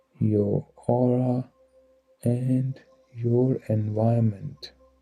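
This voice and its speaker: Over music in the background, a man with a medium pitch talks very slowly in a monotone, flat intonation. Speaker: guided meditation guide. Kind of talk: guided meditation. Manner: slow, calm, soothing.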